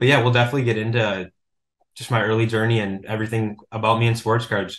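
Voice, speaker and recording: A man talks with an Upper Midwest accent. The background is quiet. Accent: Upper Midwest American. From Minnesota, US Midwest. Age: 20s. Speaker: sports card collector and author. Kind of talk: podcast interview.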